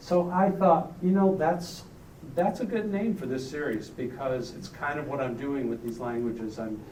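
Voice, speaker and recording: A man's fairly high, lively voice at a moderate pace, with audible room echo. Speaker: artist. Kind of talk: artist talk reading prepared remarks. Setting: gallery opening with audience. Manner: reading from notes, some hesitations.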